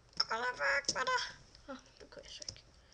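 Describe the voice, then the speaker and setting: Noticeable background noise fills the recording. A woman speaks very slowly over it. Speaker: gaming youtuber. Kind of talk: gameplay commentary. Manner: animated.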